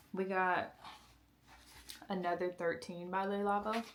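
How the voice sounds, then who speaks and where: There is noticeable background noise behind a woman's voice. She speaks at a fairly slow pace with medium pitch and fairly even intonation. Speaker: lifestyle vlogger. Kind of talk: casual vlog chat.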